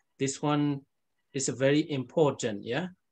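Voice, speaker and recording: In a Burmese accent, a man speaks at a fairly slow pace against a quiet background. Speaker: Buddhist monk teacher. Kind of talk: lecture. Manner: halting.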